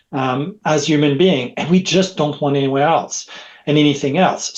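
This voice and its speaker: A man with a French accent speaks at a fairly high pitch and a moderate pace. His pitch varies in an ordinary way against a quiet background. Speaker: technology expert. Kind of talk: podcast interview. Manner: halting.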